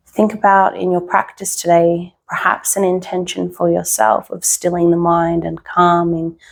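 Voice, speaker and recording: This soft-spoken voice keeps a fairly even intonation on a very clean recording with a silent background. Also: woman. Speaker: yoga teacher. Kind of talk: guided yoga practice. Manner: slow.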